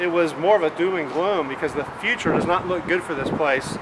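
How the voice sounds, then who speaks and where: A man speaks fairly quickly while loud background noise fills the clip. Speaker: urban explorer vlogger. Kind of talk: casual vlog chat. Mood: wistful about the park. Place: stadium. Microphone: phone near.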